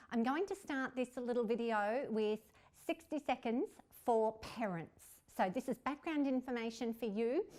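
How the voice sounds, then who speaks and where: With an Australian accent, a woman speaks in a high-pitched voice. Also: lively intonation, moderate pace. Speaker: literacy consultant and teacher trainer. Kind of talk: tutorial.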